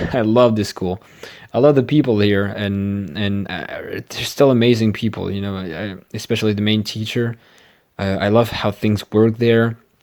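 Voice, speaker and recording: A man speaks at a moderate pace in a fairly low voice. His intonation stays fairly even. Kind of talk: casual talk to mic, channel introduction. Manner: monotone; hesitant, many fillers.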